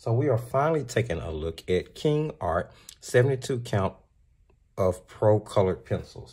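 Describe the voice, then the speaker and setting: Intonation rises and falls in a lively way. The voice carries a somewhat breathy edge. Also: man, medium pitch for a man, moderate pace. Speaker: art supply reviewer. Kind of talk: product review.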